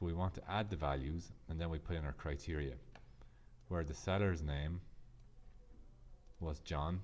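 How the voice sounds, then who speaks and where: A very deep, low-voiced man with an Irish accent, fairly even intonation and long, frequent pauses. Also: moderate pace. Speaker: Excel tutor. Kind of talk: software tutorial narration.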